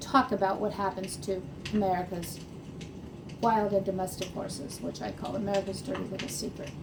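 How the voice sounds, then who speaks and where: A woman speaks at a fairly quick pace in a medium pitch, with ordinary pitch variation and noticeable background noise. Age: 60s. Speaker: horse farm owner. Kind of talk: casual talk to camera.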